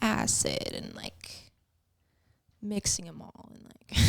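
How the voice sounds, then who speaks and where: At a very slow pace, a woman is speaking. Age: 30s. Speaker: guest sharing addiction recovery story. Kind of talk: casual podcast interview. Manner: casual, filler-heavy.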